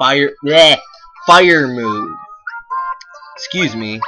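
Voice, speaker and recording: The delivery is very slow. Music can be heard behind the voice. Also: man. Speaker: let's play commentator. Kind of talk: casual gameplay commentary.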